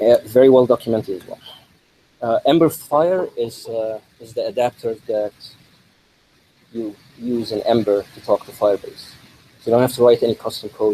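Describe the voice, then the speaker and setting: Mumbled speech with long, frequent pauses and big swings in loudness. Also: man. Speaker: conference speaker, developer. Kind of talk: tech talk. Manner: mumbling; fast.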